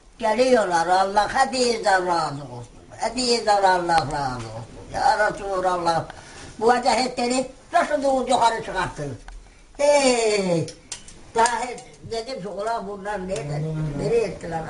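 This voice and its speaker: A woman at a medium pitch, fairly slow, with very wide pitch swings, big swings in loudness and long, frequent pauses amid noticeable background noise. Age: 80s+. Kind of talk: casual talk, addressing prime minister.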